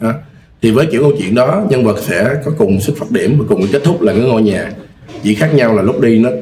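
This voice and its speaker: With lively intonation and a fairly quick pace, a man speaks in a medium pitch against noticeable background noise. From Mekong Delta, southern Vietnam. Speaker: film director and lecturer. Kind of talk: casual podcast interview. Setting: studio.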